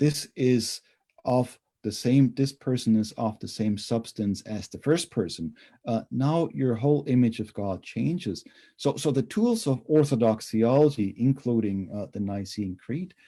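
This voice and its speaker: A man with a German accent speaks at medium pitch in a dark, mellow tone, with ordinary pitch variation and a fairly slow pace. The recording is very clean, with a silent background. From Germany. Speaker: theology professor. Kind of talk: interview.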